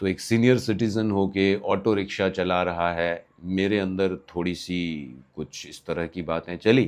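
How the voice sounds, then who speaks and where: The speaker barely pauses at all, with ordinary pitch variation. The background is quiet. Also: man, very deep, low pitch for a man. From Bihar, India. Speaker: vlogger storyteller. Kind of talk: anecdotal storytelling. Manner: casual, with hesitations.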